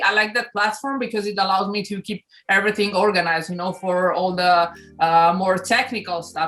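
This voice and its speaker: A woman with an Italian accent at a moderate pace. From Italy (Milan). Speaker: influencer, sports announcer, DJ. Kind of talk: interview answer.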